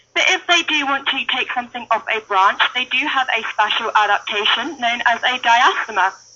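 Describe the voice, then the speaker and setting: A woman's fairly high voice with a British accent, at a moderate pace, over noticeable background noise. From United Kingdom. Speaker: wildlife centre intern. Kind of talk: live educational talk at animal enclosure.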